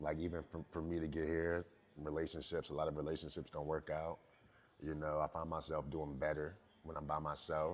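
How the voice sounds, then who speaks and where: Very deep and low, a man's voice runs at a fairly quick pace, monotone and flat. Long, frequent pauses break it up. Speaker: rapper. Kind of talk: interview.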